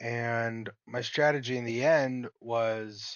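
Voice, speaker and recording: This is a man talking. He sits at a medium pitch. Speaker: gaming YouTuber. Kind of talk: gameplay commentary. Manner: slow; articulate.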